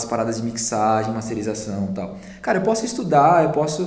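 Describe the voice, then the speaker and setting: Amid audible room echo and noticeable background noise, a man talks at a fairly quick pace with very wide pitch swings. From Brazil, São Paulo. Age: 30s. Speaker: music producer. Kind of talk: casual chat.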